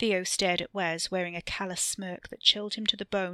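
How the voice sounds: Fairly even intonation in a natural reading voice.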